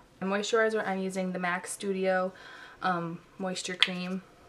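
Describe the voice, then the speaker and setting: Over noticeable background noise, a soft-spoken woman of medium pitch talks at a moderate pace. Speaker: beauty vlogger. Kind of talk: tutorial. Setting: bedroom at home.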